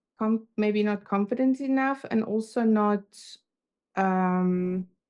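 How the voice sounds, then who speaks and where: Against a quiet background, a woman with a fairly high voice speaks at a very slow pace with fairly even intonation. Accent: German. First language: German. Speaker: confidence coach. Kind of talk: casual chat. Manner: halting.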